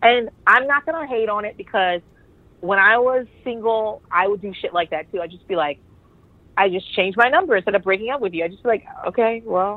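Big swings in loudness mark the unremarkable speaking voice of a woman talking at a fairly quick pace, her fairly high pitch carrying lively intonation. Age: 30s. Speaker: podcast guest. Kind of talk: casual chat.

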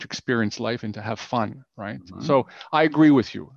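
With a Canadian accent, a man talks at a fairly quick pace in an ordinary speaking voice, the sound dry and close with no echo against a quiet background. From Canada, Ottawa. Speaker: business coach and author. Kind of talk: interview.

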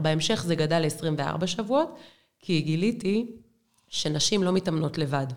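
In an ordinary speaking voice, a woman talks at a fairly slow pace. Her pitch is fairly low and her intonation is lively. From Israel, Beersheba. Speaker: women's running coach. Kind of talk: casual interview.

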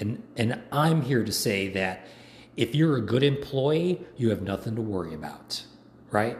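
Somewhat breathy, a man speaks fairly slowly with an American accent and lively intonation. His medium-pitched voice carries audible room echo. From Chicago, US Midwest. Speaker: military veteran political commentator. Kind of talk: political monologue vlog. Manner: animated, impassioned.

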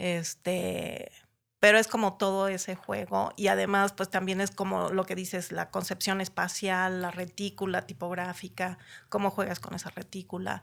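A woman talks at a moderate pace in a medium pitch with monotone, flat intonation. The recording is very clean, with a silent background. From Mexico City area (Ciudad Satélite), born in Chiapas. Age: 50s. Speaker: graphic designer. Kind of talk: casual interview.

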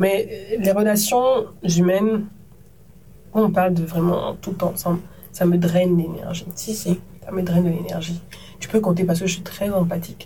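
A medium-pitched woman at a fairly slow pace with fairly even intonation and long, frequent pauses, in audible room echo. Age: 30s. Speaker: TV presenter and media entrepreneur. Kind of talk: casual interview conversation.

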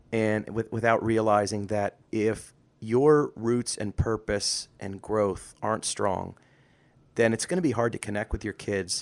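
On a very clean recording with a silent background, a man in an ordinary speaking voice talks fairly slowly at a fairly low pitch with ordinary pitch variation. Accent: American. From rural US. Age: 40s. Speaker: podcast co-host. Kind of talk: casual chat.

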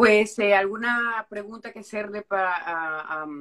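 A woman speaks at a fairly slow pace in a medium pitch with ordinary pitch variation. Her tone is bright and sharp. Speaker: live stream host. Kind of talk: casual live stream interview.

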